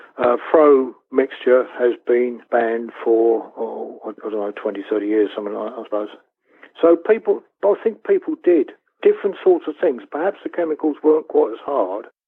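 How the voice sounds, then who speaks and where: The speaker talks at a moderate pace with a Southern English accent. The intonation is lively. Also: man, medium pitch for a man. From West Sussex, England. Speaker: beekeeper. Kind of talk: interview answer. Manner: hesitant, conversational.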